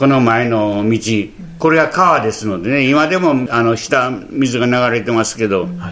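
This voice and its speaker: Amid noticeable background noise and audible room echo, a man of medium pitch talks fairly slowly with lively intonation. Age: 80s+. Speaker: earthquake survivor. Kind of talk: testimony. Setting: interview at guest's town.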